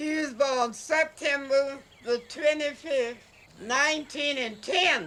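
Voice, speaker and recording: Very slowly, a high-pitched woman speaks in a bright, sharp tone with fairly even intonation. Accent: Southern US. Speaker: painter. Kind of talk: casual chat.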